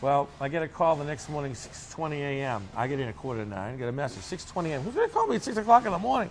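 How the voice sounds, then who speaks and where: In a Boston accent, a man talks at a very fast pace with a fairly high pitch. His tone is animated, with very wide pitch swings. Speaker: bakery owner. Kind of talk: interview storytelling. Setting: on location interview.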